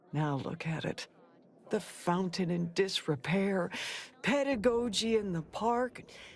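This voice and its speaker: Raspy and female-sounding, this put-on character voice sits at a medium pitch and moves at a fairly slow pace. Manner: mournful, nostalgic.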